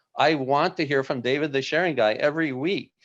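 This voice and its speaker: A man with a normal speaking voice talks at a moderate pace and ordinary pitch variation against a quiet background. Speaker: webinar host, former software company employee. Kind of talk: live webinar presentation. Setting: live video stream with chat.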